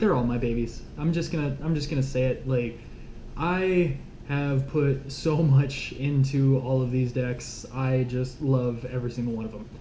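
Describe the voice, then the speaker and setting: A fairly slow delivery amid noticeable background noise. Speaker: Magic card game deck reviewer. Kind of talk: casual deck tech video monologue. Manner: animated, casual.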